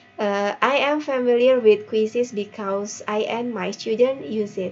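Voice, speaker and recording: A woman in an Indonesian accent, fairly high in pitch with ordinary pitch variation, at a fairly slow pace over music in the background. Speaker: teacher. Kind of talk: workshop reflection report. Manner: halting with fillers.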